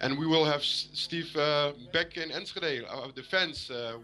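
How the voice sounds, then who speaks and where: A man with a Dutch accent speaks at a moderate pace in a bright, sharp tone, using fairly high pitch and fairly even intonation. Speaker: football fan caller. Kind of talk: call-in interview. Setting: Skype video call. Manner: halting, many hesitations.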